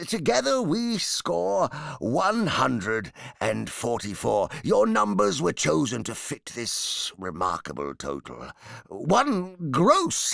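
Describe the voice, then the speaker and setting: Using a put-on character voice, a man speaks at medium pitch and a fairly slow pace. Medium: read story. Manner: hesitant, halting, playful.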